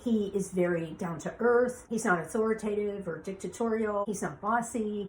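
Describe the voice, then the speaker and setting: A woman's normal speaking voice, medium in pitch, at a moderate pace with ordinary pitch variation. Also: hardly any pauses. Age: 60s. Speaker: beauty industry veteran. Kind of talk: podcast monologue.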